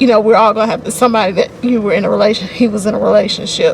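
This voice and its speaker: A woman talks in a Southern US accent with a fairly high pitch and ordinary pitch variation. Noticeable background noise is present. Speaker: book reviewer. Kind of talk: casual talk to camera. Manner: conversational, hesitant.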